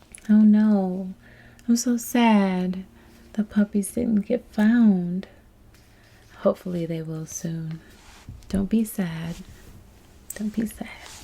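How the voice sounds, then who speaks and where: A woman speaks at a very slow pace with long, frequent pauses. Her voice is somewhat breathy, with a gentle tone and fairly even intonation. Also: medium pitch for a woman. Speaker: babysitter role-play ASMR performer. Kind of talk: ASMR role-play storybook reading. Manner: soft-spoken, gentle.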